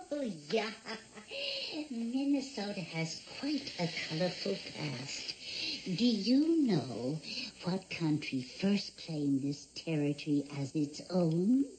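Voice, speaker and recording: In a put-on character voice, the speaker moves at a very slow pace with very wide pitch swings, over clear background noise. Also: female-sounding voice, fairly low pitch for a woman. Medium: short film. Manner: chatty, folksy, quizzing.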